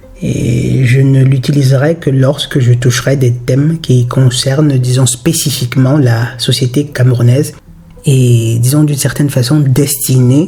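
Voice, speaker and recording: Against background music, a man speaks at medium pitch and a fairly slow pace, his loudness very even and his intonation monotone and flat. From Cameroon. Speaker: YouTuber on spirituality and philosophy. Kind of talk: spontaneous monologue to camera. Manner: halting, with repetitions and fillers.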